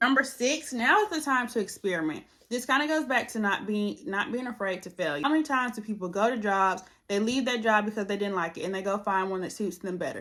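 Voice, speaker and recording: Loud and very fast, a woman with a fairly high pitch speaks in an animated, bright, sharp tone with lively intonation. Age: 20s. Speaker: lifestyle vlogger. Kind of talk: advice monologue to camera.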